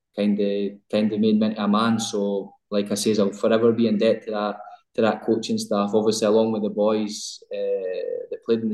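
Someone speaks in a Scottish accent with a dark, mellow tone. The delivery is fairly quick and monotone, with flat intonation. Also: man. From Scotland, West Lothian. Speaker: professional footballer. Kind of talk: interview.

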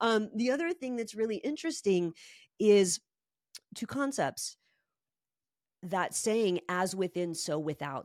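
Using a plain, everyday voice, a woman talks at a fairly slow pace with lively intonation, in a very clean recording with a silent background and a dry, close sound with no echo. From New York and Barcelona. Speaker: holistic home designer. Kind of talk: casual interview.

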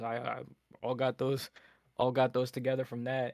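This man speaks in a monotone, with flat intonation. His pitch is medium and his pace moderate. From Nova Scotia, Canada. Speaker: rapper. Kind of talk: casual chat.

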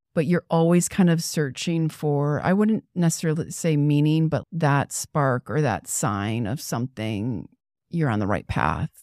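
A woman with an American accent and a very deep, low pitch, dark, mellow in tone, with lively intonation at a fairly slow pace, in a dry, close sound with no echo and a very clean recording with a silent background. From US Midwest (Toledo, Ohio), teen years in Texas. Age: 40s. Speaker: artist and art professor. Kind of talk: casual chat.

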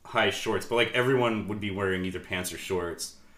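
A man talks with fairly even intonation, and room echo is audible. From Sacramento area, California. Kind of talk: casual chat.

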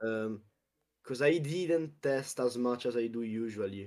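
At a fairly slow pace, a man with an Italian accent speaks at medium pitch with ordinary pitch variation. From Italy, Abruzzo. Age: young. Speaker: card game tournament champion. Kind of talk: casual interview.

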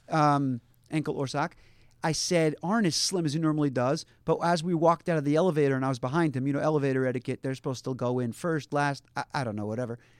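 Very fast and fairly high-pitched, a man with an American accent talks with ordinary pitch variation in a dry, close recording that is very clean, with no echo and a silent background. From US, Baltimore, Maryland. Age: 40s. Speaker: fashion figure. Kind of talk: casual chat. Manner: halting.

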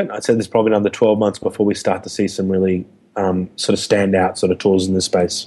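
His tone is dark and mellow. The man speaks at a very fast pace. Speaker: software engineering executive. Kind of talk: technical interview. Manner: halting, many fillers and repetitions.

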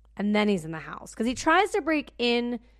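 Loud and animated, a woman talks at a moderate pace with very wide pitch swings. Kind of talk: casual chat.

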